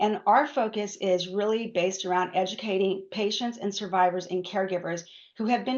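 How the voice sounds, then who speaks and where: A woman speaks with a medium pitch and fairly even intonation. Her pace is fairly quick. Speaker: patient advocacy director hosting a webinar. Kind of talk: webinar presentation. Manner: fast.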